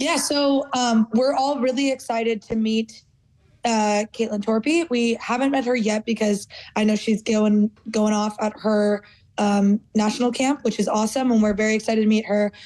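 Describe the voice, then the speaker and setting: A woman with an American accent and a normal speaking voice speaks at a moderate pace with fairly high pitch, fairly even intonation and very even loudness. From United States. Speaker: footballer. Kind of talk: interview.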